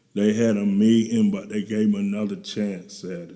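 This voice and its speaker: A man with a fairly low pitch and a dark, mellow tone talks fairly slowly in a monotone, flat intonation. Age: 60s. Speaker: guest recounting recovery from addiction. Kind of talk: interview testimony. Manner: casual, colloquial.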